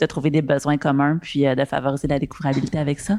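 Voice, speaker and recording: A woman talks at a very fast pace with a very deep, low pitch. The recording is very clean, with a silent background. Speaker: panelist. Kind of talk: panel discussion. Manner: hesitant, many fillers.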